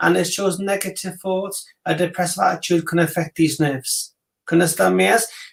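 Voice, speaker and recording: A man's fairly quick speech in a Welsh accent, very even in loudness. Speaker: psychic reader. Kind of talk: casual chat; psychic reading.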